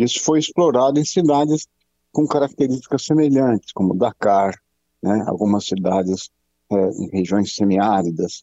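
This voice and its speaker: With lively intonation and very even loudness, a man speaks at a fairly low pitch. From Brazil, São Paulo. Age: 60s. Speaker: pathologist and medical professor. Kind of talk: radio interview. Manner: halting, many fillers.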